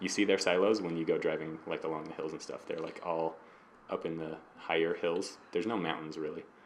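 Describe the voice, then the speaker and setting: A man talks with a Utah accent. His pace is fairly quick. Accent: Utah accent, drops the T in mountain. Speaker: hobby painting video co-host. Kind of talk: casual chat. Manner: animated.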